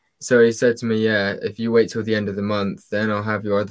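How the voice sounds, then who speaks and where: Against a quiet background, a man speaks fairly quickly in a fairly low, monotone voice with flat intonation. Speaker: guest on stream, Lego fan; guest. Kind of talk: casual chat. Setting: video call. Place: home room.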